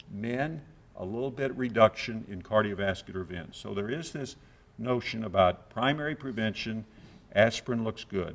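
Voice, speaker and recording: A man with an unremarkable speaking voice talks at a moderate pace in a medium pitch, with ordinary pitch variation and big swings in loudness. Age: 60s. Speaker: cardiology professor. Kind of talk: lecture. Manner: conversational, with frequent uh fillers.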